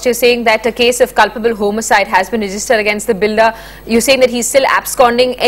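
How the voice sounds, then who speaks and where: Over noticeable background noise, a woman with a fairly high pitch speaks at a very fast pace in a flat monotone. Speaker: news anchor. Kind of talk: studio news anchor.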